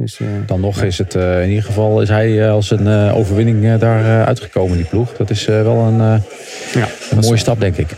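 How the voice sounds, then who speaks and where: The man's voice is fairly low in pitch and has a monotone, flat intonation. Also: moderate pace. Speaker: cycling pundit. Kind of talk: casual chat. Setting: remote from a busy hotel lobby. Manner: halting.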